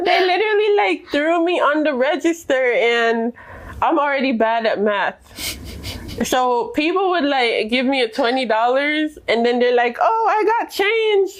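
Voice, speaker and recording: Her voice sits high and swings very widely in pitch while the loudness stays very even, and this woman talks at a fairly slow pace over noticeable background noise. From Jamaica. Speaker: immigrant interviewee. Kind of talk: interview.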